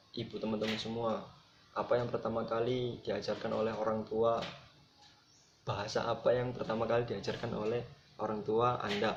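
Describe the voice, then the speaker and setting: Fairly quick, monotone and flat speech, with noticeable background noise and audible room echo. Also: man, medium pitch for a man. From Java, Indonesia. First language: Javanese (speaking Indonesian). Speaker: student presenter. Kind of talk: lecture.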